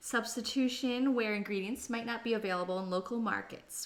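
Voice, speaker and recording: In a Canadian accent, a woman talks at a moderate pace with fairly high pitch and fairly even intonation, an ordinary speaking voice. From Canada. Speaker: cooking livestreamer. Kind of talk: live cooking stream chat.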